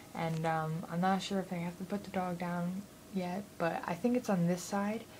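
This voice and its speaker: Amid noticeable background noise, a woman speaks quietly at a moderate pace. Her pitch is fairly low and her intonation fairly even. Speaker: vlogger. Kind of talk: casual vlog. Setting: home at night. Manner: quiet, keeping voice down. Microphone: too quiet, very close to the camera.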